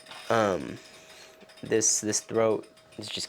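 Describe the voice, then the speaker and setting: A man at a medium pitch speaks at a very slow pace against noticeable background noise. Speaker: fitness vlogger. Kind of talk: casual vlog talk. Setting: outdoors. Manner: hesitant, many fillers.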